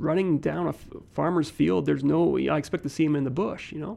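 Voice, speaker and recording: The pace is fairly quick. The voice carries a Canadian Prairies accent. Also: man. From Saskatoon, Canada. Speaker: painter. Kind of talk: interview.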